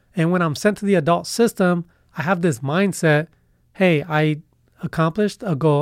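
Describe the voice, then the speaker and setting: On a very clean recording with a silent background, a man with an American accent uses an ordinary speaking voice, fairly high in pitch with ordinary pitch variation. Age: 30s. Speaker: university student. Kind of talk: interview.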